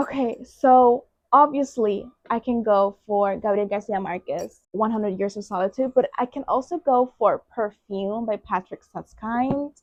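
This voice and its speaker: Speaking with a Puerto Rican accent, a woman has a fairly high pitch and an animated tone. She talks at a fairly slow pace with ordinary pitch variation. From Puerto Rico. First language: Spanish. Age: 20s. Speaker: booktuber. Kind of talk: casual vlog.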